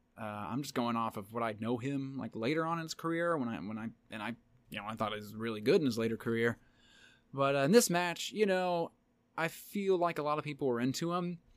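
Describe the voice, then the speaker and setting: Speaking at a very fast pace, a man uses lively intonation at medium pitch. The recording is very clean, with a silent background. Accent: Southern US. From Tennessee. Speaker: podcast co-host. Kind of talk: casual chat.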